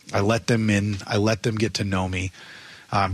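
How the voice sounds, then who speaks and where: A man talks in a plain, everyday voice, fairly low in pitch with fairly even intonation. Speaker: baseball coach. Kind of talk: interview chat.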